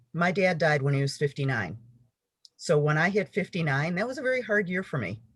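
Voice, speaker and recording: A woman talks at a fairly quick pace with a very deep, low pitch and very wide pitch swings. Her voice is somewhat breathy. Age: 60s. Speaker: author and yoga teacher. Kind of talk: casual chat.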